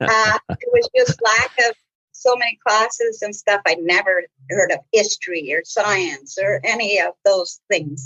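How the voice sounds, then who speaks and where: This woman has a Manitoban accent. Her pace is fairly slow. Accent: Canadian (Manitoba). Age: 60s. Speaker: community centre executive director. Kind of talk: podcast interview. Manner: casual, hesitant with frequent fillers.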